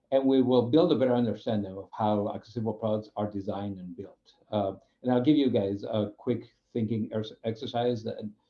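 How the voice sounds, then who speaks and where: A man with a Spanish accent talks at a fairly quick pace. His medium-pitched voice has fairly even intonation. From Spain. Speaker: UX program manager. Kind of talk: webinar presentation. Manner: halting, many fillers.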